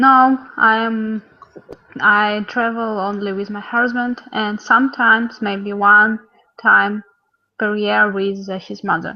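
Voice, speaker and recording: A woman in a Russian accent, very slow and flat in intonation, with big swings in loudness. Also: fairly high pitch for a woman. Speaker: language student. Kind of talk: online language lesson chat. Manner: halting.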